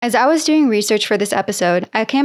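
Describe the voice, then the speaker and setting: A woman with an American accent speaks very fast at a fairly high pitch, her intonation lively, on a very clean recording with a silent background. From United States. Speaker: podcast host. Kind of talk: scripted explainer podcast.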